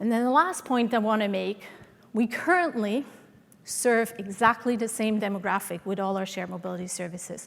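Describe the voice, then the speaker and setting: A woman speaks fairly quickly with a Swiss accent. Her pitch is fairly high, with ordinary variation. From Switzerland, Swiss mountains (Sion area). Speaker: transportation consultant. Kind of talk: conference presentation.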